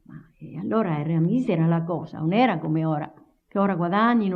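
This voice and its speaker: A woman with a Tuscan accent speaks at a fairly low pitch. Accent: Lower Garfagnana Tuscan dialect. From Garfagnana, Tuscany, Italy. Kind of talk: oral history interview answer.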